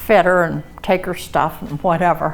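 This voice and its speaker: A woman with a medium-pitched voice speaks at a very slow pace. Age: 80s+. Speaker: seamstress giving a talk. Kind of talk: presentation to historical society. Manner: casual, with fillers.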